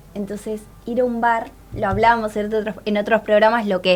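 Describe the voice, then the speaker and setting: Noticeable background noise is present throughout. The words come at a fairly quick pace. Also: woman. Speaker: student radio host. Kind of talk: interview.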